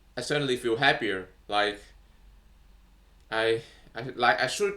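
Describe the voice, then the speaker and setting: A man with a non-native accent speaks at a fairly slow pace. His tone is bright and sharp. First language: not English. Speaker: vlogger. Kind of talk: casual monologue. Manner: halting, many fillers.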